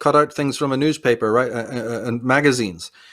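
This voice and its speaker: The speaker has a Northern Irish accent, captured on a very clean recording with a silent background. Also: man. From Belfast, Northern Ireland. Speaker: author, researcher and public speaker. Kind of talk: interview answer.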